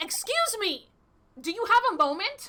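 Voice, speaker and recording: A woman does a put-on character voice that is squeaky and extremely high in pitch. Her pitch swings very widely as she goes at a moderate pace. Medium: game stream. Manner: polite, earnest.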